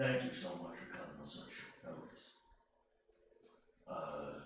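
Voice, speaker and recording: A man's booming, put-on character voice at a moderate pace, with strong echo. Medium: actual play. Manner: loud, hearty, effusive.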